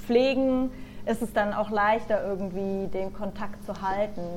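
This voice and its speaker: Over noticeable background noise, a woman speaks at a fairly slow pace. Her intonation stays fairly even. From Germany, Nuremberg (Franconia). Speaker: PR agency worker, emigrant. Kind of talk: casual interview chat. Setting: remote call.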